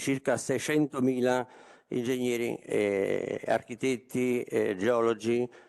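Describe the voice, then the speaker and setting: A man with a medium-pitched voice. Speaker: professional council president. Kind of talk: formal speech. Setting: stage with audience. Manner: hesitant with filler sounds.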